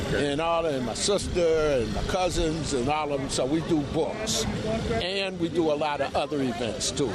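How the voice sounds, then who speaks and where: Fairly high for a man, this voice with an American accent has lively intonation, set against noticeable background noise and audible room echo. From Buffalo, New York. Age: 70s. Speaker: war veteran. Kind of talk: street interview. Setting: outdoors. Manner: halting.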